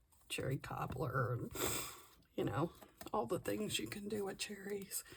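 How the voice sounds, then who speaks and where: This woman talks at a moderate pace with very wide pitch swings and vocal fry. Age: 60s. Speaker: crafting vlogger. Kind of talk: casual chat while crafting.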